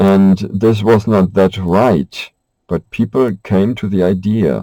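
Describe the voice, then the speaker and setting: The voice has a dark, mellow tone, recorded with a dry, close sound and no echo. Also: man. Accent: German. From Germany. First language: German. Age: 50s. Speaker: vlogger. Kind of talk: personal monologue. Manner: halting.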